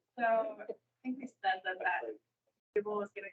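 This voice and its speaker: Soft-spoken, a woman talks at a moderate pace and a medium pitch. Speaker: trainer. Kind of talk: training session. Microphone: too quiet for online listeners.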